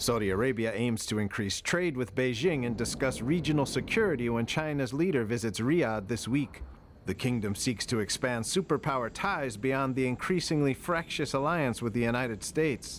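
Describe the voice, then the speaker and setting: A man with an ordinary speaking voice talks at a medium pitch with lively intonation, very even loudness and hardly any pauses. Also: moderate pace. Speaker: news reporter. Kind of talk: news reading.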